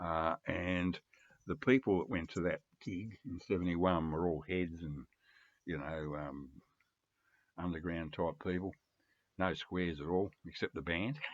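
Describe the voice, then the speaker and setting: A man with an Australian accent speaks in a very deep, low voice at a moderate pace. His pitch variation is ordinary, and he takes long, frequent pauses. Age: 70s. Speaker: record collector vlogger. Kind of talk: casual vlog monologue. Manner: rambling with many fillers.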